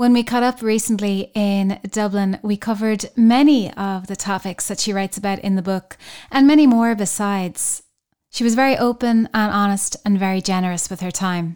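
On a very clean recording with a silent background, a woman speaks in an Irish accent at medium pitch and a moderate pace, her intonation fairly even. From Ireland. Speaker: podcast host. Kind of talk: interview conversation.

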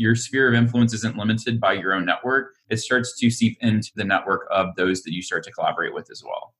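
At a fairly quick pace, this is an ordinary speaking voice with fairly even intonation. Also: man. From Alabama, US South. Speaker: entrepreneur. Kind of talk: interview.

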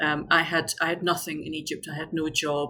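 A woman in a Scottish accent, fairly low in pitch, with a bright, sharp tone and fairly even intonation. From Scotland. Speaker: tour company founder, expat. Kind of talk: casual interview.

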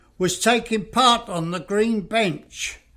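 A speaker with an English accent talks at a fairly slow pace. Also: man. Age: 80s+. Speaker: retirement home resident and co-host. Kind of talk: podcast interview.

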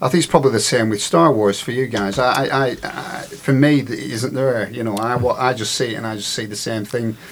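A man at medium pitch and a fairly quick pace, ordinary pitch variation, noticeable background noise behind him. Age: 50s. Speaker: recovering conspiracy theorist guest. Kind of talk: casual chat.

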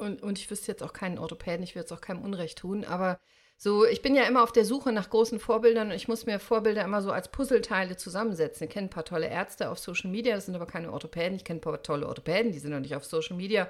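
Very fast and with hardly any pauses, a woman talks with big swings in loudness. Her pitch is medium, with ordinary pitch variation. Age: 50s. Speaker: orthopedic doctor and podcaster. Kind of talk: interview. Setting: remote recording.

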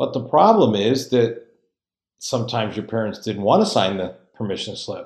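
A man talks at a moderate pace in an American accent, using a normal speaking voice. His pitch sits at a medium level and varies in an ordinary way. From Connecticut, New England. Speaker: podcast host, motivational pastor. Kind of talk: motivational talk.

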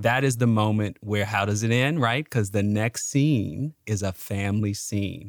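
With an American accent, a man has an ordinary speaking voice, fairly low in pitch with ordinary pitch variation, moving at a fairly slow pace with hardly any pauses in a dry, close sound with no echo. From Chicago, US (South Side). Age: 40s. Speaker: historian. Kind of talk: casual chat.

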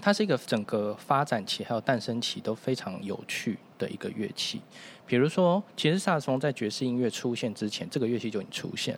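A man talks at a fairly quick pace, his medium pitch moving in very wide swings. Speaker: saxophonist, musician. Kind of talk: casual chat.

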